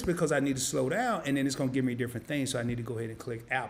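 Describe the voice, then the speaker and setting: A man speaks in an animated tone at a medium pitch, with a Southern US accent. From US South, Arkansas. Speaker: finance YouTuber. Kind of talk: live-stream tutorial. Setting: home studio live stream. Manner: casual, animated.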